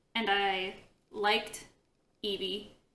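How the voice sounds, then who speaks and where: A woman speaks with a bright, sharp tone. Audible room echo surrounds her voice. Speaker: book vlogger. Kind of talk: casual vlog. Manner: animated, lots of hand movement.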